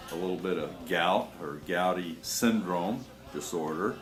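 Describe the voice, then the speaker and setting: Music plays behind a man whose very deep, low voice carries ordinary pitch variation and audible room echo. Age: 60s. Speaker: naturopathic health promoter. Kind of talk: personal testimony. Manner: halting, many fillers and repetitions.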